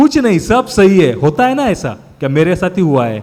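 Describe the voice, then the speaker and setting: A man with a Marathi accent speaks at a high pitch, his voice swinging very widely. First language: Marathi (speaking Hindi). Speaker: preacher. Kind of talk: sermon.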